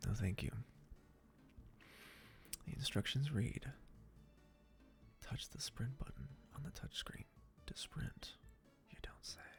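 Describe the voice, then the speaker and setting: Over music in the background, a man whispers at a fairly slow pace with long, frequent pauses. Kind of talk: casual gameplay commentary. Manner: whispered.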